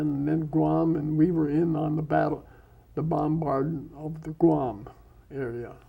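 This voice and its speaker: At a very slow pace, a man with a fairly high pitch speaks in monotone, flat intonation. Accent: Upper Midwest. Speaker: war veteran. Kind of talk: interview answer. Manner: soft-spoken.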